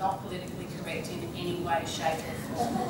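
A woman speaks with an Australian accent. Noticeable background noise and audible room echo surround her. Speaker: leadership trainer and keynote speaker. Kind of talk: conference keynote talk to audience. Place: meeting room.

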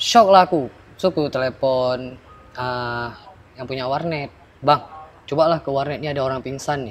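A man speaks at a moderate pace, his loudness swinging widely while his pitch varies in an ordinary way. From Aceh, Indonesia. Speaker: former internet cafe attendant. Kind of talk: storytelling interview. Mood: recounting ghost story. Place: garden.

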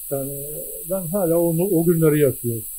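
A man speaks with a fairly high pitch and a dark, mellow tone. His pitch varies an ordinary amount over light background noise. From Denizli, Turkey; Turkey. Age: 80s+. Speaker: war veteran. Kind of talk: interview; interview answer. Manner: halting. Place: home room. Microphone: handheld.

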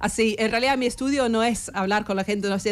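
Pitch moves in an ordinary way, with an English accent. The pace is very fast. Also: woman. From England, Sheffield; England. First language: English (speaking Spanish). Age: 40s. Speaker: historian; guest. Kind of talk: radio interview; interview answer. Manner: halting. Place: studio. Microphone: studio mic.

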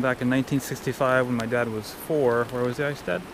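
Noticeable background noise sits under a man's monotone, flat intonation. The sound is dry, with no echo. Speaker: vlogger filming his father. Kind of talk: casual vlog chat. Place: open country. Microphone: phone near.

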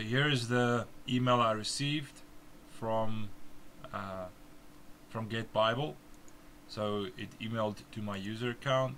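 At a fairly slow pace, a man with a South African accent speaks at medium pitch with fairly even intonation. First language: Afrikaans. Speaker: software developer giving a tutorial. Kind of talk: tutorial screen demonstration. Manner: halting, with fillers.

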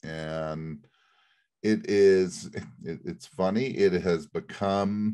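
A man's very deep, low voice against a quiet background. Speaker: podcast host presenting a case study. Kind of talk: conversational explanation. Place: home room. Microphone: webcam.

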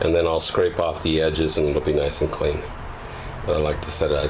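There is noticeable background noise behind a man speaking fairly quickly. His pitch is very deep and low. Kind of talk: casual tutorial walkthrough. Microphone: phone near.

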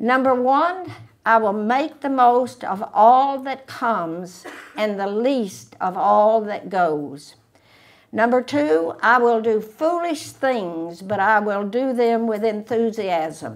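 A woman speaks at a very slow pace with lively intonation. The background is quiet. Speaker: speaker. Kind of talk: prepared talk read aloud. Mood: warm, spirited.

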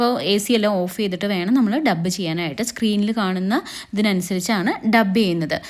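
A woman talks at a medium pitch with ordinary pitch variation. She has an ordinary speaking voice. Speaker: dubbing artist. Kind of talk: casual talk to camera. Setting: studio.

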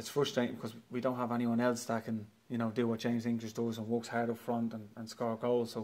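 Speaking at a fairly quick pace, a man uses a medium pitch with a slightly mellow tone. His intonation is monotone and flat.

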